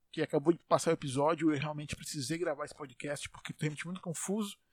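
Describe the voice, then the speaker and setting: An animated man, heard dry and close with no echo. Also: very clean recording, silent background. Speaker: solo podcaster. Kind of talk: casual monologue. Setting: home bedroom. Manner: put-on comedic voice.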